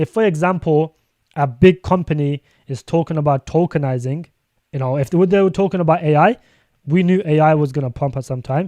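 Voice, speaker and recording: Speaking with a British accent, a man with a fairly high pitch and a dark, mellow tone talks at a fairly quick pace with ordinary pitch variation. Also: dry, close sound with no echo. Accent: British accent, noticeable to viewers. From UK. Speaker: crypto streamer. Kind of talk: live stream commentary. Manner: fast; casual, filler-heavy.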